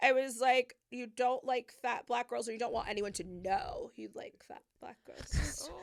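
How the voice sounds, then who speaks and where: Loud and animated, a woman speaks at a fairly slow pace with hardly any pauses. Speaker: makeup artist. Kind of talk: casual chat. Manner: loud, animated.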